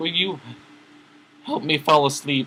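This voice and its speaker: Pitching his voice fairly high, a man performs a put-on character voice. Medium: read story. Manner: bubbly.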